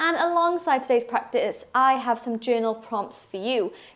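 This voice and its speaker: Here a woman speaks at a moderate pace. Her intonation is lively. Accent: slight Welsh. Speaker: yoga teacher. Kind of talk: guided yoga class.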